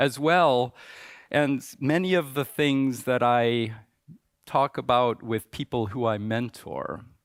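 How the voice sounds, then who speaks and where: This is a man speaking. He has a Midwestern American accent. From US Midwest, suburbs of Chicago. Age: 60s. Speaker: conference speaker. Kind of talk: conference talk.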